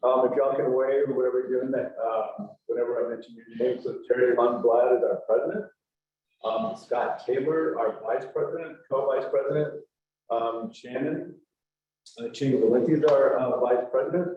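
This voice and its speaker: Audible room echo fills the space as a man talks at a moderate pace. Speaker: nonprofit executive director. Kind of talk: presentation. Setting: church hall with audience, streamed on Zoom. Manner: loud. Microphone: no microphone.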